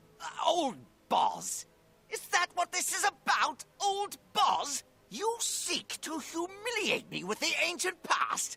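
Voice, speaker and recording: A man uses a put-on character voice at a fairly slow pace. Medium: video game. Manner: grumpy, scornful.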